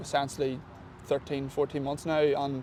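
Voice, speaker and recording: A man speaks with an Irish accent. His voice is fairly high and his pace fairly quick. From Ireland. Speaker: professional football kicker. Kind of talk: sports interview. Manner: fast; halting, many fillers.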